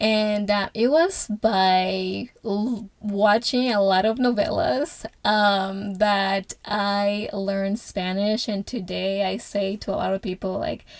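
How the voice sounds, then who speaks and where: Speaking very slowly with hardly any pauses, a woman with a Portuguese accent keeps a medium pitch and a fairly even intonation. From Angola, moved to US at age 11. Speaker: podcast host. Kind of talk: personal testimony. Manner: halting, many filler sounds.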